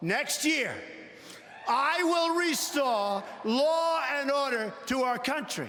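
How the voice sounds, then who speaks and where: With a New York accent, a man talks very slowly in an extremely high pitch, his intonation lively over noticeable background noise. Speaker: politician. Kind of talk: political convention speech. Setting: large convention hall.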